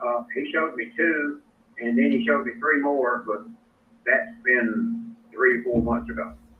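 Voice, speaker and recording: A man speaks with an Alabama accent. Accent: Alabama Southern. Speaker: role-play home seller. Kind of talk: sales role-play call.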